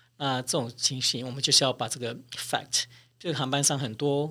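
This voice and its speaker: This man talks fairly quickly at a medium pitch, his tone bright and sharp. The recording is very clean, with a silent background. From Taiwan. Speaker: flight attendant, cabin chief. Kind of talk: interview.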